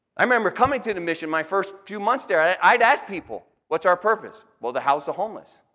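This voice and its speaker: In a raised, projected voice with a bright, sharp tone, a man speaks very fast at a high pitch, with an animated tone and lively intonation. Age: 50s. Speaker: pastor and rescue mission director. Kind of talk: guest sermon presentation to a church congregation. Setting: church with audience. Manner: animated, conversational.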